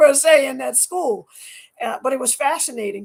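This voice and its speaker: A woman with vocal fry and lively intonation at a moderate pace. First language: French. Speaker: scientist and athlete. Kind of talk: interview. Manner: halting, many repetitions.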